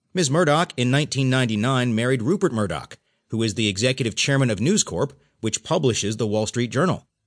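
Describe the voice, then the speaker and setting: A man with an unremarkable speaking voice, lively intonation and a moderate pace against a quiet background. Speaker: audiobook news narrator. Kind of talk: formal newsreading. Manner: formal, steady and measured; neutral, even newsreader delivery.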